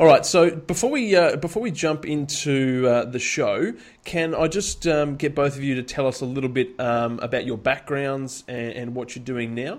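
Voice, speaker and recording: A man with an ordinary speaking voice, fairly high in pitch, at a moderate pace with hardly any pauses and ordinary pitch variation. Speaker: podcast host. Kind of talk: interview podcast, conversational. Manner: friendly, upbeat.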